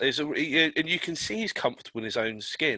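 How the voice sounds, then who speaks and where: Bright and sharp in tone, a man talks at a fairly quick pace with lively intonation. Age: 40s. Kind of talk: casual chat.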